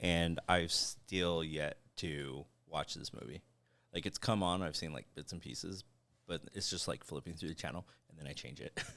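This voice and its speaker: This man has a very deep, low pitch with a bright, sharp tone and vocal fry, speaking at a moderate pace with ordinary pitch variation and big swings in loudness. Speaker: podcast co-host. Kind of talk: casual chat. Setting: live stream.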